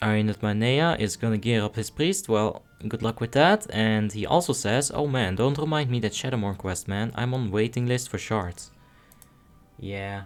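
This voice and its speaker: A man with a Dutch accent, music in the background. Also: medium pitch for a man, ordinary pitch variation, moderate pace. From Netherlands. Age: 30s. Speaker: game streamer. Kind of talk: live gameplay commentary. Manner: casual, with stammered repeats.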